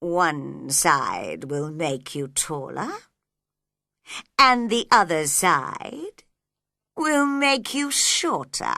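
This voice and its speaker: A woman puts on a character voice with a fairly low pitch, speaking at a very slow pace broken by long, frequent pauses. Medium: read story. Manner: slow, sleepy.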